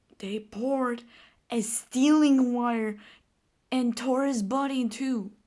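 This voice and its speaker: The woman's voice sits at a high pitch. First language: not English. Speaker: gaming video creator. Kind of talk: casual commentary on a game. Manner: animated; halting.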